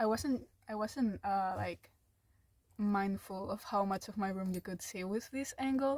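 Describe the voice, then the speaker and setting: Her voice sits at a medium pitch, somewhat breathy, with ordinary pitch variation, a non-native accent and a fairly slow pace. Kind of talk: casual podcast-style rant to camera. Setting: home room, low-quality mic. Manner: hesitant, many filler words.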